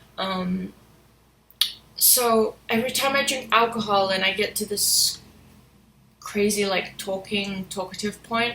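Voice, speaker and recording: A woman of medium pitch with fairly even intonation, long, frequent pauses and noticeable background noise. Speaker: vlogger. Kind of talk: casual monologue vlog. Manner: halting, with pauses; quiet, reserved when sober.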